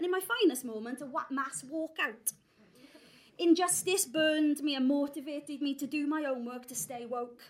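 In a Welsh accent, a woman speaks at high pitch. Her loudness swings in big ways. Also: ordinary pitch variation, moderate pace. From South Wales Valleys. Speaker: theatre artistic director. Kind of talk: talk to live audience. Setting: stage with audience. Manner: animated.

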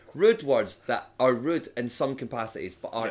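A man with a Scottish accent speaks with very wide pitch swings. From Scotland, Edinburgh. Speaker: comedian and voiceover artist. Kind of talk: casual chat.

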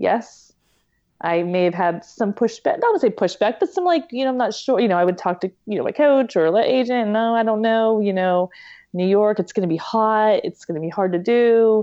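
A woman talks in a normal speaking voice. Her pitch variation is ordinary. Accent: American. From western Pennsylvania, Pittsburgh area. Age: 40s. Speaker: elite marathon runner and nurse. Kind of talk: interview conversation.

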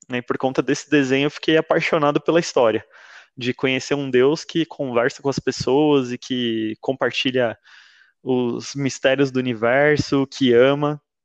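Medium in pitch, a man speaks at a moderate pace in a monotone, flat intonation. The sound is dry and close with no echo, over a quiet background. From São Paulo, Brazil. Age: 30s. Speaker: church member sharing testimony. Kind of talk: testimony.

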